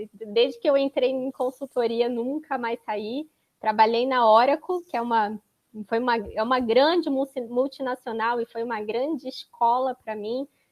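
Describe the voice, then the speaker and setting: A woman's high voice with a slight Florianópolis accent, fairly even intonation and a moderate pace, in a dry, close sound with no echo. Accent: slight Florianópolis (manezinho). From Florianópolis, southern Brazil. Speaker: data protection consultant. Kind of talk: panel talk presentation.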